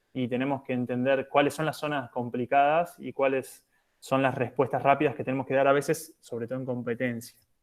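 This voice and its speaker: On a very clean recording with a silent background, a man talks fairly quickly in a monotone, flat intonation at a medium pitch. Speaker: physiotherapist for national handball teams. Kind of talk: lecture. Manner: hesitant, many fillers.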